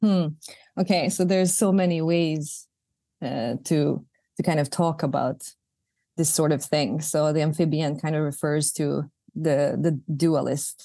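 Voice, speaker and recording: A woman's very deep, low voice with a Bosnian accent, dark, mellow tone and fairly even intonation, at a fairly slow pace with long, frequent pauses against a quiet background. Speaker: poet and artist. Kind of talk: interview conversation. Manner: hesitant, with fillers.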